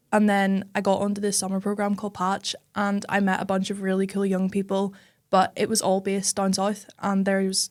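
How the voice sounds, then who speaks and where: Speaking very fast at a medium pitch, a woman with a Northern Irish accent keeps a monotone, flat intonation on a very clean recording with a silent background. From Northern Ireland, Belfast. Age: young. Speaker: tech startup founder. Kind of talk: casual chat.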